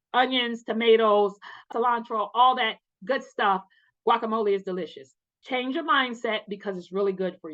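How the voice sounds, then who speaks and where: A loud, animated woman at a fairly high pitch and a fairly quick pace. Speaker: wellness vlogger. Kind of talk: casual motivational talk.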